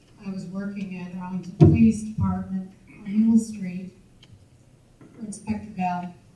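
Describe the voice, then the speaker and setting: With music in the background and audible room echo, a woman talks at a moderate pace and medium pitch, her intonation fairly even and her loudness swinging widely. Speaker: audience member, former police records supervisor. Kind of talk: audience Q&A remarks at a history talk. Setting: audience at a public lecture. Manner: halting.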